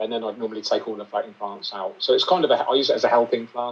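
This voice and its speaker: This man talks at a very fast pace. He has a British accent. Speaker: aquascaper and aquarium YouTuber. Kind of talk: interview.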